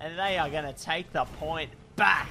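A man speaks with music in the background. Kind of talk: live esports commentary.

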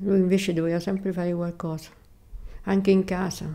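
A woman talks at a moderate pace in a monotone, flat intonation. Her tone is dark and mellow. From Rome, Italy. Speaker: widow of a Paralympic athlete, former nurse. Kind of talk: personal reminiscence interview. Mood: calm, reflective reminiscing. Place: home room.

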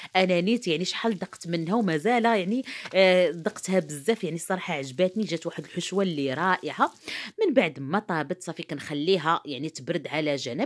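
Here a woman speaks at a fairly low pitch and a fairly quick pace. The background is quiet. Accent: Moroccan. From Morocco. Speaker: cooking youtuber. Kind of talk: cooking tutorial. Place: kitchen. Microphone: phone near.

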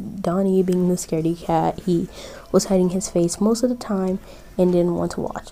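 A text read out loud in a natural-sounding voice

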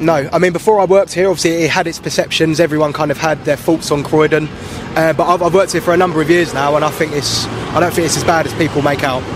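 A man's fairly high, flat, monotone voice at a very fast pace, dry with no echo, over noticeable background noise. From South London, Jamaican parents. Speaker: office worker. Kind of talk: street interview. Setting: outdoors. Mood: relaxed, slightly unsure. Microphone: handheld.

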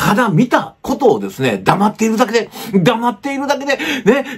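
Speaking at a moderate pace, the man has a high pitch. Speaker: YouTube news commentator. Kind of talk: commentary monologue on news. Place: home room.

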